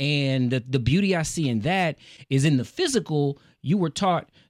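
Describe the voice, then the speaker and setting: Lively in intonation, a man with an American accent is heard on a very clean recording with a silent background. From US South. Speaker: podcast host. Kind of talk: casual interview. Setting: studio, same room as guest.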